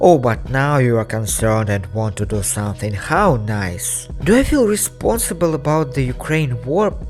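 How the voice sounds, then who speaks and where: A man with a Russian accent, music in the background. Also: moderate pace, hardly any pauses. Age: 20s. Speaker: digital storyteller. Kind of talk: personal video essay.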